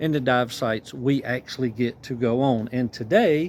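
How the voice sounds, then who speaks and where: A man with a Southern US accent at a fairly slow pace, with ordinary pitch variation. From US South, rural South Carolina. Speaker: scuba diving vlogger. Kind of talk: vlog narration. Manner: casual, friendly.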